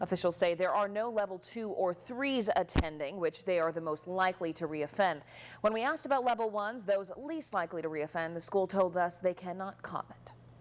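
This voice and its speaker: A woman with an ordinary speaking voice, a medium pitch and a fairly quick pace. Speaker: news anchor. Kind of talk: TV news anchor read.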